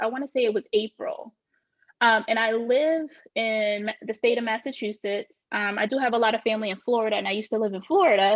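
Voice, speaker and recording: Her pitch fairly high, a woman speaks at a very fast pace with ordinary pitch variation. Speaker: real estate agent. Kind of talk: podcast interview.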